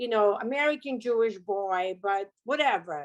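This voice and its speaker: Lively intonation marks this woman's speech. She has a Russian accent. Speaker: car accident survivor, business owner. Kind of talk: interview testimony.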